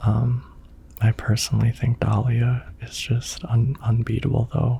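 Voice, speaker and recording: Soft-spoken and fairly even in intonation, a man talks at a fairly slow pace over noticeable background noise. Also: medium pitch for a man. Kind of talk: relaxing gaming commentary for sleep.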